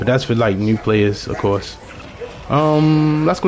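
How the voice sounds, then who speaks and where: There's noticeable background noise as a man speaks at medium pitch with ordinary pitch variation. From Baltimore, Maryland, US. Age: 30s. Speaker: video game streamer. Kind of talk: gameplay live stream commentary. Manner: casual, conversational.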